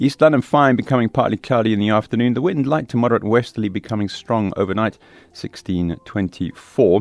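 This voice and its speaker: The background is quiet, and the sound is dry and close with no echo. A man of medium pitch talks at a fairly quick pace with ordinary pitch variation. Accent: South African. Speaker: radio presenter. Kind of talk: live radio current affairs show. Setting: radio studio.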